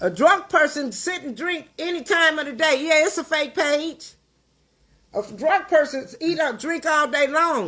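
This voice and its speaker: A woman's high-pitched, raised and projected voice, animated in tone, with lively intonation at a fairly slow pace. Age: 60s. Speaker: livestream host, caterer. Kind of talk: livestream rant. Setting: at home.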